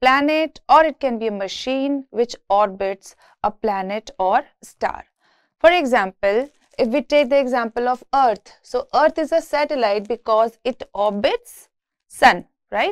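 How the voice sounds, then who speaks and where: Intonation is lively and the pace fairly slow. The background is quiet. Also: woman. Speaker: university lecturer. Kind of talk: lecture.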